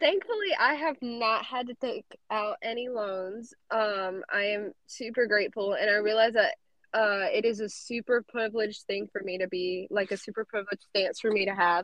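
Using a plain, everyday voice, a woman talks at a moderate pace with a fairly high pitch and ordinary pitch variation. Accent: American. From South Carolina. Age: young. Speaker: college student. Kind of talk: interview.

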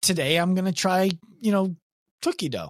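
Over a very clean recording with a silent background, a man speaks in an animated tone. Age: 30s. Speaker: fitness business owner and coach educator. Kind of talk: interview.

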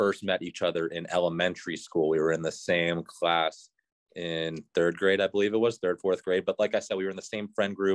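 A man with a very deep, low pitch speaks at a fairly quick pace with fairly even intonation. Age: 20s. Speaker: professional hockey player. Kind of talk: casual chat.

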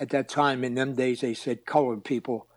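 A man's medium-pitched voice, fairly even intonation, fairly quick pace. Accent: Philadelphia. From Philadelphia, Pennsylvania. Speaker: retired Marine drill instructor. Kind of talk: interview storytelling.

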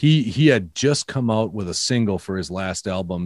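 Lively intonation colors the speech of a man with a Minnesota accent. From Minnesota, US. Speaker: podcaster, photographer and writer. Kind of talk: casual interview chat. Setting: video call.

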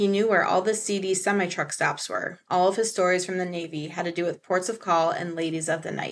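A woman with a normal speaking voice and an American accent talks at a fairly quick pace and medium pitch, hardly pausing, on a very clean recording with a silent background. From Michigan, US. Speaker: author and horror film critic. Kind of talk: casual chat.

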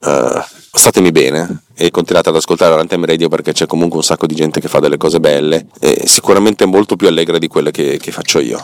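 The delivery is fairly quick, and the sound is dry and close with no echo. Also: man. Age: 40s. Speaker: podcast host. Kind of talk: monologue. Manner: halting.

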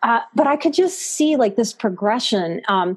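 A woman with an American accent talks at a fairly slow pace in a fairly high, somewhat breathy voice with lively intonation. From US South, New Orleans. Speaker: psychotherapist and life coach. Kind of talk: interview.

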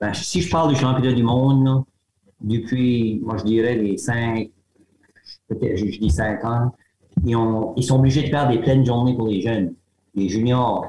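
At a medium pitch, a man speaks fairly slowly with ordinary pitch variation. Long pauses come often. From Acadian New Brunswick, Grande-Digue area. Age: 60s. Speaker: retired teacher and arm-wrestling champion. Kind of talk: interview. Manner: hesitant, repetitive.

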